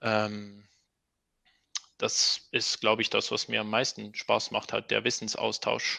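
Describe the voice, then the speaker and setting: The pace is very slow, broken by long, frequent pauses. A man is heard on a very clean recording with a silent background. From Switzerland. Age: 30s. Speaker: open-source software developer. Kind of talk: casual interview.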